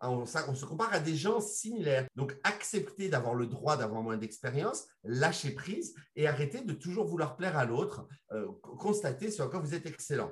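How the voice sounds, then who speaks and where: The pitch swings very widely while the speech moves at a moderate pace. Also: man, fairly high pitch for a man. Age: 50s. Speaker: legal coach and lawyer. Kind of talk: podcast discussion.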